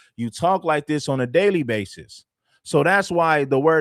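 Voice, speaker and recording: An animated man with an American accent, fairly high pitch, ordinary pitch variation and a moderate pace, on a very clean recording with a silent background and a dry, close sound with no echo. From Los Angeles, US West Coast. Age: 40s. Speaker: livestream host, content creator. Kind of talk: heated debate. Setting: livestream.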